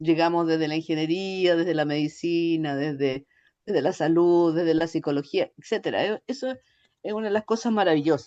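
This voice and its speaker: The speaker has a Chilean accent and a moderate pace, heard over a quiet background. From Chile, Santiago. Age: 60s. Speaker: ergonomics researcher and consultant. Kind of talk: interview. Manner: hesitant, many fillers.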